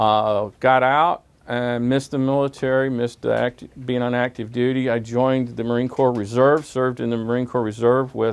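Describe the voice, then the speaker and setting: Hardly pausing, a man speaks in a monotone, flat intonation. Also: medium pitch for a man, moderate pace. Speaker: marine veteran. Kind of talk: speech to students. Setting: library event with audience.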